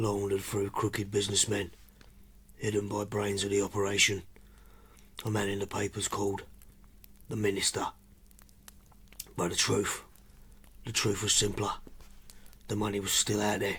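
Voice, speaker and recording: A raspy, put-on character voice from a fairly low-pitched man, monotone and flat, at a moderate pace with long, frequent pauses. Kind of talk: hard-boiled voice-over. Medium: audio drama. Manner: terse, clipped.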